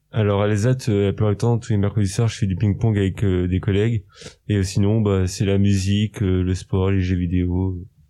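A man's fairly low, dark, mellow voice with monotone, flat intonation over a quiet background. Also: moderate pace, very even loudness. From Normandy, Saint-Lô. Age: 20s. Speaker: cook. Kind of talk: interview.

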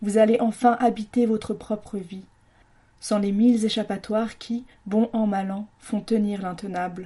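The speech moves at a fairly slow pace. Its intonation is monotone and flat. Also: woman. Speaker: radio columnist. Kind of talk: scripted monologue in the voice of the virus, delivered as an angry rant. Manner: angry, accusatory, indignant, biting sarcasm; forceful, declamatory, hammering rhetorical questions.

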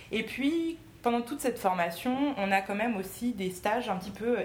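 At a moderate pace, a woman talks amid audible room echo and noticeable background noise. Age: 20s. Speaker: magistrate. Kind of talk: talk to a school class. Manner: hesitant.

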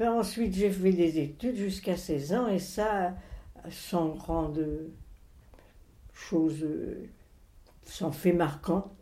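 With long, frequent pauses and a very slow pace, a woman talks in a fairly low pitch and a dark, mellow tone with ordinary pitch variation, and audible room echo can be heard. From France, moved around as a child (Alps, Bordeaux area, Rouen). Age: 80s+. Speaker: grandmother telling her life story. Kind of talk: interview, life memories. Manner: halting, with hesitations.

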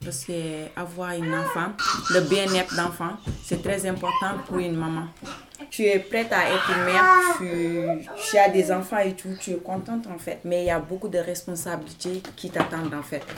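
Noticeable background noise sits behind a woman whose fairly low pitch moves with fairly even intonation. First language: not French (speaking French). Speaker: migrant woman, language learner. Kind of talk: roundtable testimony.

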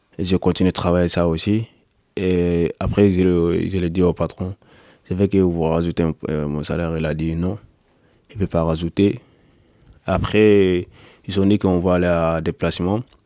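A man's very deep, low voice, dark and mellow in tone, flat and monotone, at a moderate pace with long, frequent pauses, in a dry, close sound with no echo. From Mali. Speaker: construction painter and striking undocumented worker. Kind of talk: interview testimony. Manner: halting.

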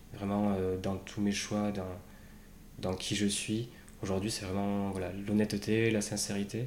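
A man with a fairly low pitch talks at a fairly slow pace in a monotone, flat intonation. Long pauses come often, and the room echo is audible. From Basque Country, France. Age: 30s. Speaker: bereaved brother, quality manager. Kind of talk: personal testimony interview. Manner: hesitant, many fillers.

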